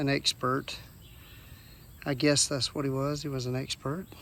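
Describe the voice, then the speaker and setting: Speaking with a Southern US accent, a man keeps to a moderate pace. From US South. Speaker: rockhounding vlogger. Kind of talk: casual outdoor vlog narration. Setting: outdoors by a creek. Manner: casual, with fillers and restarts.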